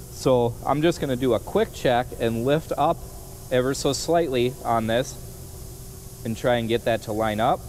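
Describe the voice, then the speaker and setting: Speech comes at a fairly slow pace with ordinary pitch variation. Light background noise is present. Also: man. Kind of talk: tutorial. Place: workshop.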